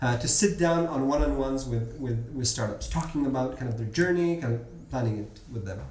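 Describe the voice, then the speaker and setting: The intonation is lively and the pace moderate. Noticeable background noise sits under the voice. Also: man. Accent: American. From Bahrain. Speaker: entrepreneur and startup mentor. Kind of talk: casual interview.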